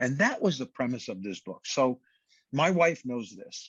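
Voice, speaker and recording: Talking at a moderate pace, a man with a New York accent has a medium pitch. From Brooklyn, New York. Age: 60s. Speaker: fitness trainer and author. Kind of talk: podcast interview.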